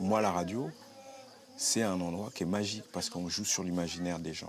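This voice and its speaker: A man with a very deep, low pitch talks at a moderate pace amid noticeable background noise. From Normandy, France. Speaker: community radio presenter. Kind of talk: interview testimony. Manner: halting.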